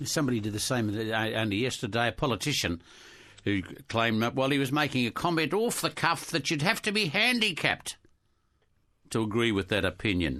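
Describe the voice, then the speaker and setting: Over a quiet background, a man with an Australian accent talks fairly quickly in a bright, sharp, medium-pitched voice with lively intonation and very even loudness. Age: 70s. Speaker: priest and radio co-host. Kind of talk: radio chat.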